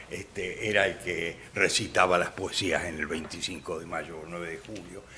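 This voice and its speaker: This man speaks at a fairly slow pace. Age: 80s+. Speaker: author, retired judge. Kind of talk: radio interview. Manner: halting, many fillers.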